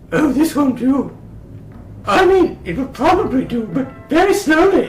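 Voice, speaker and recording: A put-on character voice, high in pitch, at a moderate pace with clear background noise. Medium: audio drama. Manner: fussy, imperious.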